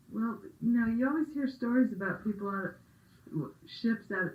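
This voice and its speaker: A woman speaks at a fairly quick pace. Her voice is somewhat breathy, with ordinary pitch variation. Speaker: oral history interviewer. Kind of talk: interview questions.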